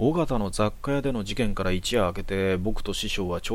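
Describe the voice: This is plain reading aloud. The voice simply reads.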